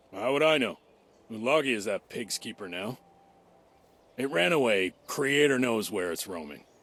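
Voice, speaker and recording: Speaking at a moderate pace, a man performs a put-on character voice that sounds raspy. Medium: video game. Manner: sarcastic, dismissive.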